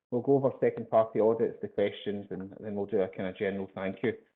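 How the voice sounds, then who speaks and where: Speaking at a very fast pace, a man talks with a Glasgow accent. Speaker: sales executive presenting a webinar. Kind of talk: webinar presentation. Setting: online webinar. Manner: hesitant, many fillers and repetitions.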